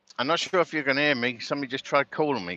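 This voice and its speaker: A man with an English accent speaks at a medium pitch, with ordinary pitch variation and a bright, sharp tone. The sound is dry and close with no echo, over a quiet background. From Britain. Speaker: truck driver. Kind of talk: live stream chat while driving. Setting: in a truck cab. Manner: casual, rambling.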